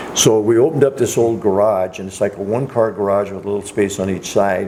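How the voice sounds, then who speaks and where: Very fast and fairly low-pitched, a man talks with fairly even intonation and big swings in loudness. Noticeable background noise runs underneath. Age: 80s. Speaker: retired car collection assistant. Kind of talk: casual interview storytelling. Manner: halting, with frequent fillers and restarts.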